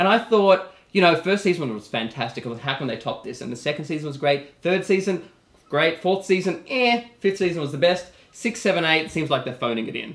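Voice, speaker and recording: With an Australian accent, a man at a high pitch talks at a fairly quick pace using lively intonation. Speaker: TV talk show host. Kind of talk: casual talk show chat. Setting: studio. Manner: animated.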